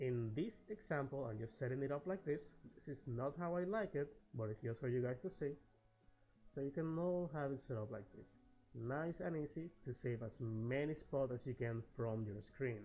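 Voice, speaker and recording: A man at a moderate pace, fairly high in pitch, with lively intonation and music in the background. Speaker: game guide creator. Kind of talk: gaming tutorial narration. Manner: friendly, casual.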